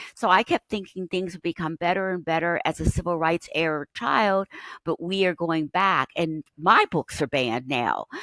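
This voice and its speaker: In a very clean, dry, close recording with no echo and a silent background, a woman with an American accent speaks at a moderate pace in a bright, sharp tone with a fairly low pitch and ordinary pitch variation. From US, Pittsburgh. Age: 70s. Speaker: author and educator. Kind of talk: interview conversation. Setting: podcast interview.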